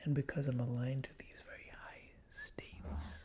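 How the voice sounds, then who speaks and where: Whispering, the speaker keeps the voice soft-spoken throughout. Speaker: ASMR YouTuber. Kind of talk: ASMR tutorial narration, soft spoken. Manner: whispered, soft-spoken.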